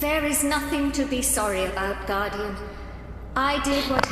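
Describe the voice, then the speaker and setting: A put-on character voice, female-sounding and high-pitched for a woman, moves at a moderate pace. There is clear echo and loud background noise. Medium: machinima. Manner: stately, archaic.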